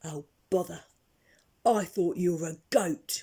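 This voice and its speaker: A loud, gruff, raspy put-on character voice at a fairly slow pace. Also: woman, fairly low pitch for a woman. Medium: read story. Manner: gruff and loud.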